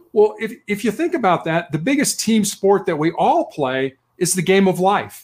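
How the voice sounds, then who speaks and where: With an American accent, a high-pitched man speaks at a moderate pace using lively intonation. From Chicago, Illinois. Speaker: author. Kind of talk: interview.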